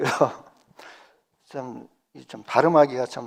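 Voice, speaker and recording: A man is speaking. His pace is very slow. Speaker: pastor. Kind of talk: sermon. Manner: halting, with self-corrections.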